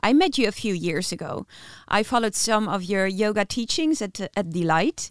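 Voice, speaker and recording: A woman speaks at medium pitch with a Dutch accent. The sound is dry and close, with no echo. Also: lively intonation, moderate pace, very clean recording, silent background. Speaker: podcast co-host. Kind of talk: interview.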